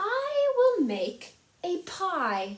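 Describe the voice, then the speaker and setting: A woman puts on a shrill character voice at an extremely high pitch. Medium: read story. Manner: shrill, fiery.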